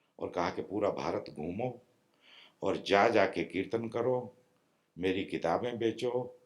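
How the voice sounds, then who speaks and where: Talking with ordinary pitch variation, a man has a plain, everyday voice. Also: medium pitch for a man. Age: 60s. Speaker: spiritual teacher. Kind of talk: spiritual discourse. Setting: meditation retreat with small audience.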